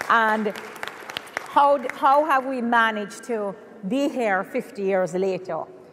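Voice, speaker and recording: Crowd noise fills the background as a woman speaks at a very slow pace with a fairly high pitch. She leaves long, frequent pauses. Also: ordinary pitch variation. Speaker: spa educator and business owner. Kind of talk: conference panel talk. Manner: loud.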